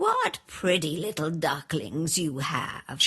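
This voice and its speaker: A cartoonish character voice speaks at a very slow pace and a middle pitch. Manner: bossy, grumbling.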